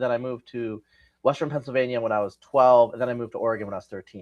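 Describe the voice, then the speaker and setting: A man with a West Coast American accent speaks at a very fast pace with fairly even intonation and big swings in loudness against a quiet background. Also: medium pitch for a man. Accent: generic West Coast American. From West Coast United States. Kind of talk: casual, conversational.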